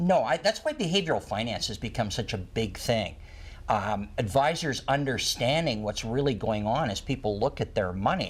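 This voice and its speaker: With lively intonation, a man of medium pitch speaks at a moderate pace in a somewhat breathy voice. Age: 60s. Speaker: retirement planning expert and author. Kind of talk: talk show interview.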